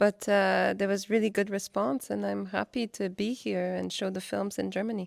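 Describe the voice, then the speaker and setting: A woman with a Quebec accent speaks at a moderate pace and a medium pitch. The recording is very clean with a silent background and a dry, close sound with no echo. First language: French. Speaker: artist. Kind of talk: interview. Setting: after a film screening at a cinema.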